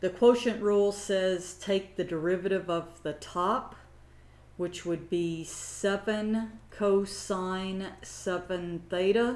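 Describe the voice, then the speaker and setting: There is audible room echo around a woman's voice. Her pitch is medium, with ordinary variation. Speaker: math instructor. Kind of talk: lecture. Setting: recorded lecture, camera off.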